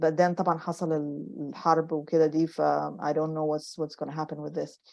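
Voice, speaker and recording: Against a quiet background, a woman talks at a moderate pace in a Sudanese accent. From Sudan, Khartoum. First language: Arabic. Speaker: novelist. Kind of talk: book club author Q&A. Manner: halting, many repetitions; code-switching Arabic and English.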